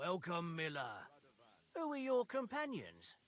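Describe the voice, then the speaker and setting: Putting on a character voice, a man talks at a fairly slow pace with a high pitch for a man. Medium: video game.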